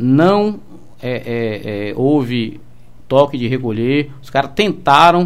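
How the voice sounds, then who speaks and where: A man with a fairly high voice speaks at a very slow pace, his intonation lively and his loudness swinging widely. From Salvador, Bahia, Brazil. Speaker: police commander. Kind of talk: radio interview. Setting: radio studio. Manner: halting, many fillers.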